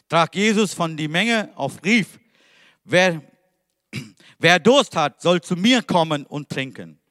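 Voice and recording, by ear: The voice moves in big pitch swings at a slow pace. Its tone is fairly bright. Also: man.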